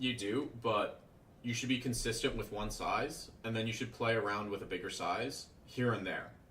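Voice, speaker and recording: In a room with audible echo, a man speaks at a fairly low pitch with fairly even intonation. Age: 20s. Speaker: day trader and trading mentor. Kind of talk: livestream Q&A. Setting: live stream. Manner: casual, conversational.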